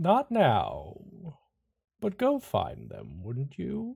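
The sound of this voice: Using a rumbling, put-on character voice, a man speaks at a very slow pace.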